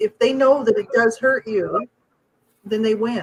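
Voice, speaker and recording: A normal speaking voice from a woman, fairly high in pitch with fairly even intonation, at a moderate pace in a dry, close sound with no echo. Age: 50s. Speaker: podcast co-host. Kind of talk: casual chat.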